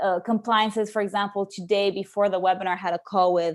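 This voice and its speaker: Her pace fairly quick, a woman speaks at medium pitch with fairly even intonation. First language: not English. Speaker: people operations lead and remote work coach. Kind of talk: webinar presentation. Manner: hesitant with many fillers.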